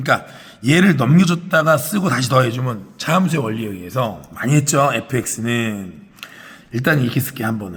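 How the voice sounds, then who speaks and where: This man speaks fairly quickly at a medium pitch, his voice making very wide pitch swings. Noticeable background noise runs underneath. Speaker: math teacher. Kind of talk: lecture.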